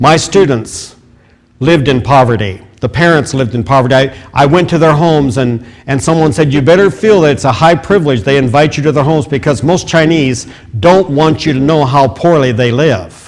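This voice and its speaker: With a Midwestern American accent, a man speaks at a fairly quick pace in a fairly high pitch with ordinary pitch variation. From US Midwest, rural Iowa. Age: 70s. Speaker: guest preacher. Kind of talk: testimony. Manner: halting, many fillers and repeats.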